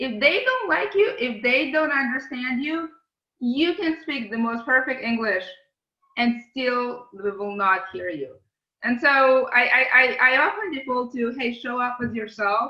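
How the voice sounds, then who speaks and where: In a raised, projected voice with a non-native accent, the speaker goes at a fairly slow pace, using lively intonation and a bright, sharp tone. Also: woman, high pitch for a woman. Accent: foreign accent, kept. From outside English-speaking world, immigrated to US as teen. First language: not English. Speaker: tech company CEO and lawyer. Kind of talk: podcast interview. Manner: hesitant, many fillers and repeated words.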